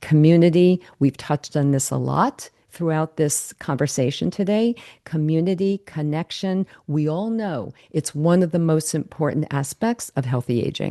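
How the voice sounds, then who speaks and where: A woman with a very deep, low voice and a dark, mellow tone, recorded dry and close with no echo against a quiet background. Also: ordinary pitch variation, moderate pace. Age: 60s. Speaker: podcast host and healthy aging expert. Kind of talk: casual panel discussion.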